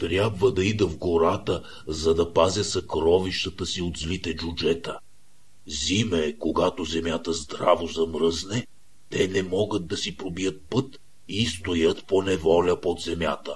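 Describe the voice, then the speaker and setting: A man speaks in a put-on character voice pitched very deep and low. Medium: read story. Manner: gentle, warm.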